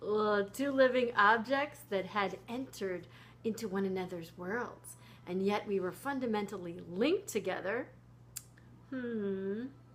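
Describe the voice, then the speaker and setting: Speaking at a fairly slow pace, a woman with an unremarkable speaking voice uses medium pitch and ordinary pitch variation. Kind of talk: impromptu reading aloud from a science book with ad-libbed asides. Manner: relaxed, impromptu, playful, cuddly.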